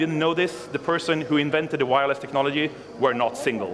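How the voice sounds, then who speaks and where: A man speaks at a very fast pace with a fairly high pitch. Background noise is noticeable. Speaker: conference speaker, software developer. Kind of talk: conference talk. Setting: stage with audience.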